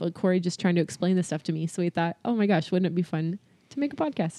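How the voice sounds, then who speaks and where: With an American accent, a woman speaks in a normal speaking voice at medium pitch and ordinary pitch variation. The sound is dry and close with no echo, over a quiet background. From California. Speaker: podcast co-host. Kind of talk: casual chat.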